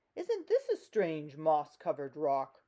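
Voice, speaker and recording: The speaker uses a put-on character voice at a middle pitch. The pace is fairly slow. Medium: read story.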